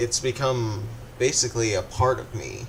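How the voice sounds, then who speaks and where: Noticeable background noise accompanies a man speaking at a very slow pace. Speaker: gaming YouTuber. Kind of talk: casual unscripted commentary. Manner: halting, stuttering.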